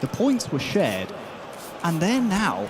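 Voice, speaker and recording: A man with an English accent and very wide pitch swings, over noticeable background noise. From England. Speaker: esports commentator. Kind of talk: live commentary.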